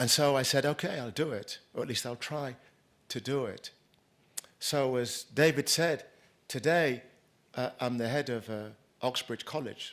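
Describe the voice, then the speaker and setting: A man with a British accent talks at a fairly slow pace, using ordinary pitch variation and long, frequent pauses. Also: medium pitch for a man. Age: 60s. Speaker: keynote speaker, former racial justice activist, college head. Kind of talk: conference keynote speech. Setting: conference stage with live audience. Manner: conversational, repeats words often.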